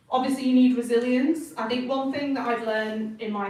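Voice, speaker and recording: Fairly quick female speech amid noticeable background noise and audible room echo. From northern England. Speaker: designer. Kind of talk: talk to students. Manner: casual.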